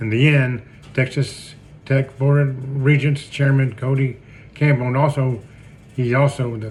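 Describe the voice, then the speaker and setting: At a moderate pace, a man with an American accent talks in a medium pitch. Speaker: sports podcast host, retired wrestler. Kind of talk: podcast commentary. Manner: halting.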